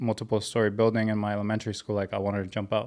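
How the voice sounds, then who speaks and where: Speaking at a medium pitch, a man talks with a Spanish accent. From Mexico (Ciudad Juarez), moved to US as child. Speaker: clothing brand founder. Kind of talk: podcast interview, personal story. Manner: casual.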